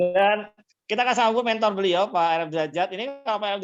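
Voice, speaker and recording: Over music in the background, a man talks at a very fast pace and a high pitch. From Java, Indonesia.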